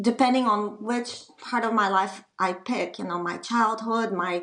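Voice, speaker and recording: The speech moves at a fairly slow pace with fairly even intonation, and room echo is audible. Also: woman. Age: 50s. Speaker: recovered patient. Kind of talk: interview.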